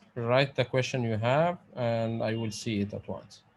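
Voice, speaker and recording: Speaking at a fairly slow pace, a man talks with a non-native accent. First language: Arabic. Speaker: pharmacist lecturer. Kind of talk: online lecture. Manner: halting.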